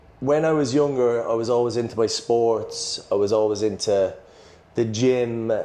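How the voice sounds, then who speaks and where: A man's medium-pitched voice with an Irish accent, moderate pace, fairly even intonation and very even loudness, against noticeable background noise. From Ireland. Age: 20s. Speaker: personal trainer. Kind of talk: casual chat.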